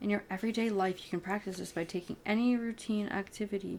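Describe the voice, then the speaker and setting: A woman speaks softly. Her intonation is flat and monotone. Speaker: ASMR reader. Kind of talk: audiobook reading of spiritual self-help. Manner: soft-spoken.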